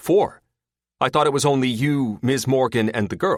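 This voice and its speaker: A man puts on a booming character voice at medium pitch. He keeps a moderate pace. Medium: read story.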